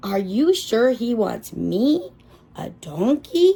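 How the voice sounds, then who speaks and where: Using a put-on character voice, a woman speaks very slowly with a fairly high pitch. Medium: read story. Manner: gentle, unsure.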